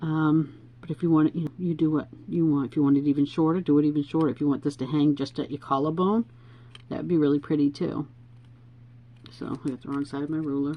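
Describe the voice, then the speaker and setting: A woman's very deep, low voice at a very fast pace, with fairly even intonation. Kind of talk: tutorial. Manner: casual, chatty.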